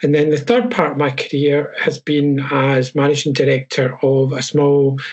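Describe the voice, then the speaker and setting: A man speaks at a moderate pace and a fairly high pitch. He talks with a Scottish accent. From Scotland. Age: 60s. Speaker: HR professional and coach. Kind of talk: webinar panel talk.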